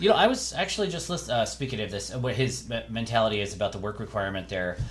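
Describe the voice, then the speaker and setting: Noticeable background noise and audible room echo accompany a man talking at a very fast pace. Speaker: podcast co-host. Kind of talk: casual chat. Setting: home podcast recording, separate mics. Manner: halting, many fillers; varies in volume.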